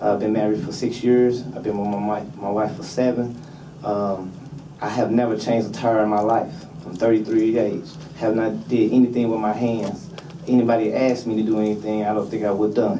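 Noticeable background noise behind a man with an American accent, fairly low in pitch, at a moderate pace with fairly even intonation. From St. Louis, Missouri. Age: 30s. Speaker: job training trainee. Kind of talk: public testimony. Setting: legislative committee hearing. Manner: halting, hesitant. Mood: earnest, somewhat nervous. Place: meeting room.

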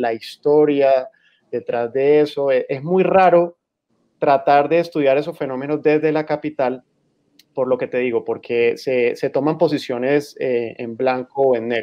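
In a plain, everyday voice, the speaker goes at a fairly slow pace with fairly even intonation over a quiet background. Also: man. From Colombian Caribbean, San Andrés island; Colombia. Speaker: magazine editor; guest, lawyer. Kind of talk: panel discussion. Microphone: video call.

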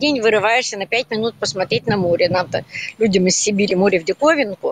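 Delivered at a very fast pace with lively intonation, the voice has a dry sound with no echo. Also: woman. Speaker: volunteer. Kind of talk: interview. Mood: warm, encouraging. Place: street. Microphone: phone near.

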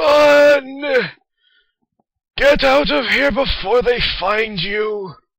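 Using a put-on character voice, a man talks at a very slow pace with extremely high pitch, lively intonation and long, frequent pauses. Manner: urgent, warning.

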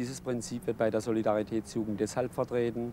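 At a moderate pace, a man with a dark, mellow tone speaks in monotone, flat intonation, in a dry sound with no echo and light background noise. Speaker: youth official. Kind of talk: interview statement; interview answer. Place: open country.

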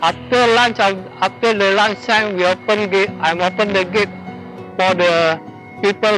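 Over clear background music, a man with a high pitch speaks at a moderate pace with ordinary pitch variation and very even loudness, the sound dry with no echo. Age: 60s. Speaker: security guard; retired police officer. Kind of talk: interview answer. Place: garden. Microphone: lapel.

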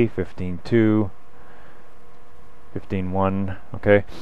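A man's fairly low voice, dry with no echo. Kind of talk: tutorial. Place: workshop. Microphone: camera far.

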